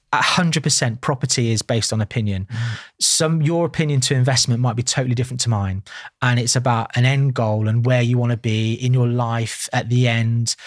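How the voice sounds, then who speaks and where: A man speaks fairly quickly with a somewhat breathy sound. His medium-pitched voice keeps a fairly even intonation. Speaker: estate agent, property investor and auctioneer. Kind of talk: podcast interview answer.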